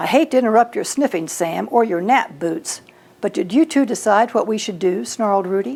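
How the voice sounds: The natural reading voice carries lively intonation.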